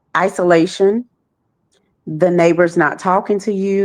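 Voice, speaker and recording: Speaking with an American accent, a woman keeps a fairly slow pace. Her pitch is medium. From Texas (Dallas). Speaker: trafficking survivor and nonprofit founder. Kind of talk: interview testimony.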